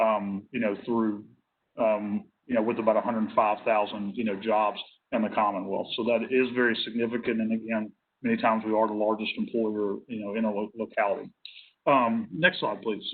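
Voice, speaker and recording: A man with a Tennessee accent speaks fairly quickly at medium pitch with monotone, flat intonation. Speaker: nursing home industry representative. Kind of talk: work group presentation. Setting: hybrid virtual meeting. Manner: halting, many fillers.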